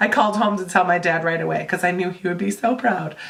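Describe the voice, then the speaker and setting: A woman of medium pitch speaks with ordinary pitch variation over noticeable background noise. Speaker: book vlogger. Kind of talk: casual talk to camera.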